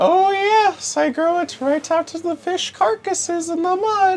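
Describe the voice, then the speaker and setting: An extremely high, squeaky put-on character voice comes through. It moves at a moderate pace. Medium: actual play. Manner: wheedling, overly polite.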